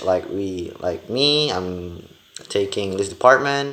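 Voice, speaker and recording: A man with an Indonesian accent at a very slow pace. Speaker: university student. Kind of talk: class presentation video. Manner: halting, many fillers.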